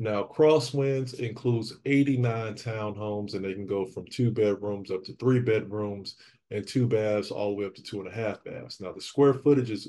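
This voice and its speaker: With an unremarkable speaking voice, a man talks at a moderate pace in a fairly low pitch, showing ordinary pitch variation, big swings in loudness and hardly any pauses, against a quiet background. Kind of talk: casual vlog chat. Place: empty room.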